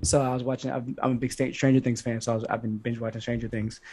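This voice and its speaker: Flat and monotone, a man speaks at a medium pitch in a somewhat breathy voice. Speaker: podcast co-host. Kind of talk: casual chat.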